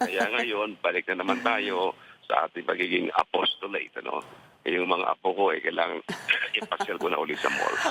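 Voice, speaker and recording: A man talks at a very fast pace, with music in the background. The sound is dry and close, without echo. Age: 70s. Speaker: lawyer, former candidate. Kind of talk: interview.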